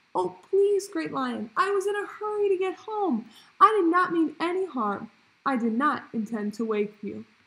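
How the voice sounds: A squeaky, put-on character voice moves at a moderate pace with very wide pitch swings. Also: woman, extremely high pitch for a woman.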